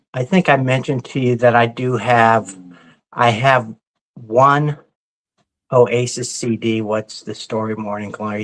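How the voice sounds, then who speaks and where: A man's unremarkable speaking voice at medium pitch, with an American accent and a fairly slow pace. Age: 60s. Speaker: vinyl record show host. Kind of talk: casual chat.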